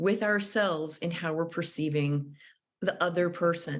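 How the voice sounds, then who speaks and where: A woman with a plain, everyday voice at a moderate pace against a quiet background. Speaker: conflict mediator and trainer. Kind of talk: lecture.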